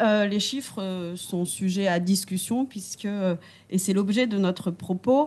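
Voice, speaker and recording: Speaking at a medium pitch, a woman moves at a very slow pace. Her pitch varies an ordinary amount against a quiet background. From Réunion. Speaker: legal scholar. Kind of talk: academic commentary.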